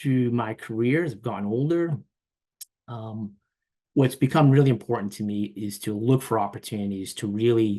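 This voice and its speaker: A man with a medium pitch speaks at a moderate pace. His pitch varies in an ordinary way. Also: big swings in loudness. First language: Spanish. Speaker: university staff member. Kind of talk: interview. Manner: halting, many fillers.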